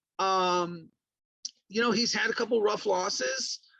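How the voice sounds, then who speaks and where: This man speaks at a moderate pace in a raised, projected voice. His tone is bright and sharp. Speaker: professional wrestling ring announcer. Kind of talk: casual podcast talk about wrestling matches.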